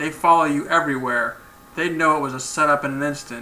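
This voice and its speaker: Using a put-on character voice, a man talks very fast at a fairly high pitch with fairly even intonation. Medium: read story. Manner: aggressive, hostile.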